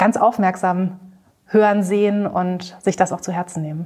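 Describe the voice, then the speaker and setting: A woman speaks at medium pitch in a dark, mellow tone. Her intonation is monotone and flat. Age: 30s. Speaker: marketing consultant. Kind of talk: interview.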